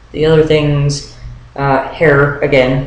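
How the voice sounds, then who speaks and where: A man speaks fairly slowly in a flat monotone at medium pitch. Noticeable background noise and audible room echo surround him. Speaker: vlogger documenting transition. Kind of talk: video diary update. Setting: webcam video at home. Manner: hesitant, many fillers.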